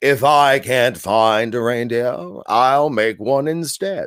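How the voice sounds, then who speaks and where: A man puts on a character voice, growling at a medium pitch. He goes at a fairly slow pace with ordinary pitch variation. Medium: read story. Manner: snarling, sneering.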